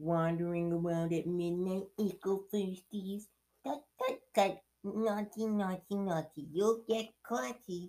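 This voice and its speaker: The voice is a put-on character voice, pitched in the middle range. Its delivery is fairly slow. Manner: cackling, teasing, mischievous.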